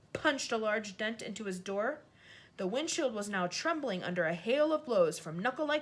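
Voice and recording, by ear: Lively intonation runs through the delivery. The text is read aloud in a natural voice.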